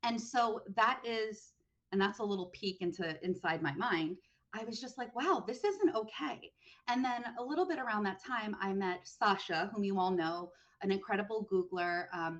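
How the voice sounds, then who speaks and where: A woman speaks in a New York accent. Her pitch sits in the medium range. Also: ordinary pitch variation. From US Northeast, New York City. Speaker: online community manager. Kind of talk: webinar interview. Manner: fast.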